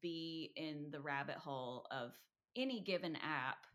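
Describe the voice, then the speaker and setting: Her pitch fairly low and its variation ordinary, a woman speaks in a normal speaking voice at a fairly slow pace. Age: 30s. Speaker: podcast co-host. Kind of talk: casual chat; reading aloud.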